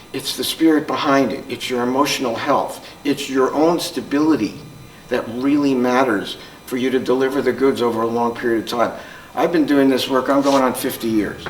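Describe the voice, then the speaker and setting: A man with an American accent at a medium pitch, fairly even intonation, audible room echo and noticeable background noise. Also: moderate pace. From Newark, New Jersey, US. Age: 70s. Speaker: psychologist and trauma counselor. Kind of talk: conference talk.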